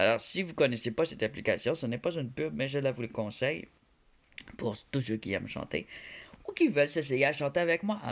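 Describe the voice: The speaker talks fairly quickly with lively intonation and vocal fry, leaving long, frequent pauses. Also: man, fairly high pitch for a man.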